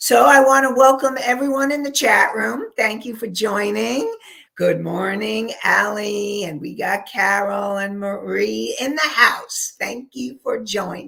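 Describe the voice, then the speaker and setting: A woman speaks at a fairly slow pace with hardly any pauses. Her loudness swings widely. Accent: New York. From New York. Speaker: counselor and life coach. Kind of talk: live webinar talk. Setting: live online show with chat room.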